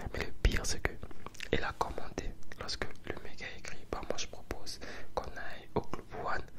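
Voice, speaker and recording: Over noticeable background noise, a man whispers at a moderate pace with long, frequent pauses. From Congolese. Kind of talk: ASMR storytelling to camera. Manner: casual, conversational, relaxed.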